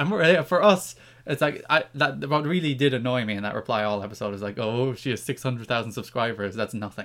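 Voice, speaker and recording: In an Irish accent, a man talks at a very fast pace with a medium pitch and lively intonation. The recording is very clean, with a silent background. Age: 20s. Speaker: podcast co-host, wrestling writer. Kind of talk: casual chat.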